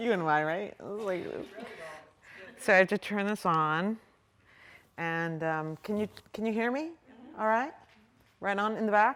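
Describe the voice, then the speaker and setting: Speaking at a moderate pace with long, frequent pauses, a woman uses lively intonation at a medium pitch. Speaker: artist. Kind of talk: artist talk. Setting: lecture hall with audience. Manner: loud.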